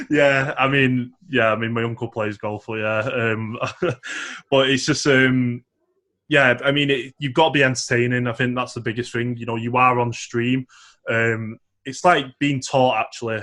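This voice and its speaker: Bright and sharp in tone, a man's medium-pitched voice keeps a fairly even intonation. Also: moderate pace. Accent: strong northern English. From northern England, Manchester. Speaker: esports professional and teacher. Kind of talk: casual interview chat.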